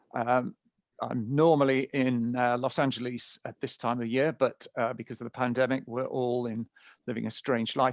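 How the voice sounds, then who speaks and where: In a British accent, a man talks at a moderate pace, and the sound is dry and close with no echo. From England. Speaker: nonprofit founder and speaker. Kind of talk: webinar presentation.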